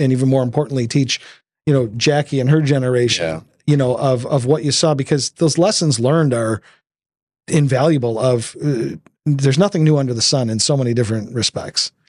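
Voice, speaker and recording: A plain, everyday voice speaks with an American accent and ordinary pitch variation. The recording is very clean, with a silent background. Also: man, medium pitch for a man, fairly quick pace. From Detroit area. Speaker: podcast host. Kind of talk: casual conversation.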